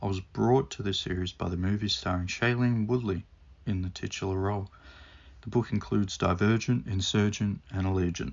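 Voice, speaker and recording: Fairly low in pitch, a man talks in a plain, everyday voice at a fairly quick pace with ordinary pitch variation. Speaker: book reviewer. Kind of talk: scripted book review read to camera.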